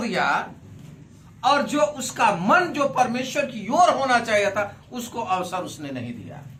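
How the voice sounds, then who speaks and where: A man speaks in a raised, projected voice with lively intonation, and the recording has audible room echo and noticeable background noise. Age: 60s. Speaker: pastor. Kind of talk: sermon.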